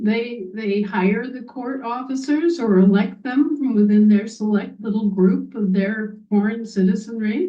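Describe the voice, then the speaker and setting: A woman with an American accent talks in a fairly high, somewhat breathy voice with ordinary pitch variation. She keeps a fairly slow pace with hardly any pauses. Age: 60s. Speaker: activist speaker. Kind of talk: monologue. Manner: animated.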